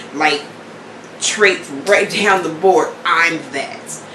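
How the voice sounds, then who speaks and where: A woman's voice with ordinary pitch variation comes through audible room echo and noticeable background noise. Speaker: vlogger. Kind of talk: casual monologue. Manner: loud; animated.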